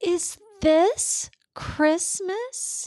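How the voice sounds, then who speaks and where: A female-sounding voice puts on a character voice. Its pitch is extremely high. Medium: read story.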